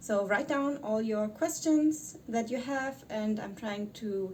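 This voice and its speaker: A woman with a German accent talks at a fairly high pitch. Her pace is fairly slow. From Germany. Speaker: YouTuber. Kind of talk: vlog. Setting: quarantine hotel room. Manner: halting.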